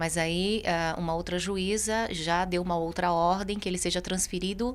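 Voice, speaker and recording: A woman uses a normal speaking voice, fairly low in pitch, with fairly even intonation, very even loudness and a moderate pace. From Minas Gerais, Itajubá. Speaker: radio host and journalist. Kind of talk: radio interview on news.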